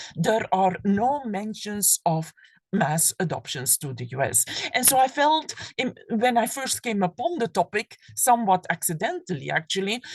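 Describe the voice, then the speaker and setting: A woman with a Flemish Belgian accent and medium pitch, very wide pitch swings, vocal fry and a moderate pace, in a dry, close sound with no echo. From Belgium (Flanders). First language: Flemish (Dutch). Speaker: professor. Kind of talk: lecture. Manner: halting, with fillers and repetitions.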